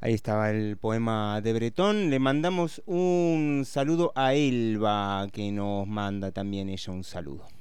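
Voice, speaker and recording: In a Rioplatense accent, a man talks at a fairly slow pace and medium pitch with lively intonation and hardly any pauses. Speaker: radio host. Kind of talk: radio show hosting, then poem reading aloud. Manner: measured, lyrical, incantatory reading of the poem, line by line.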